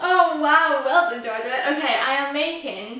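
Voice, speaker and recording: In a raised, projected voice, a woman with an English accent speaks at a very slow pace amid noticeable background noise and audible room echo. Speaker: baking vlogger. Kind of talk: tutorial. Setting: home kitchen. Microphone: echoey room.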